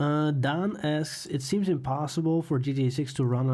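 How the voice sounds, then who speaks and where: A man speaks at a fairly slow pace in a somewhat breathy, dark, mellow tone with fairly even intonation. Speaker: YouTube gaming streamer. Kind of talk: live stream chat.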